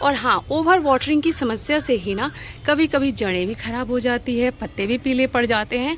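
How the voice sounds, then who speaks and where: A woman talks with lively intonation and a high pitch. Noticeable background noise sits behind her. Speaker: gardening vlogger. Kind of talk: casual tutorial vlog. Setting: outdoors on a rooftop terrace garden. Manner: conversational, chatty.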